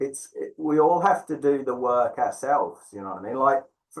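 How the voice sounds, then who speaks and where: Talking at a fairly quick pace, a man speaks in a fairly high voice. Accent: slight English. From England. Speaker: tantra teacher. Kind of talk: interview. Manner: hesitant, many fillers.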